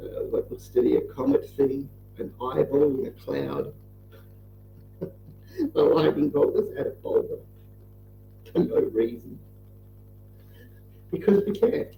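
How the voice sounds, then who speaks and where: Speaking with an Australian accent, a man moves at a fairly slow pace with long, frequent pauses. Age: 30s. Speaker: truck driver and livestreamer. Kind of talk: casual chat while drawing on livestream. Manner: low-energy, subdued.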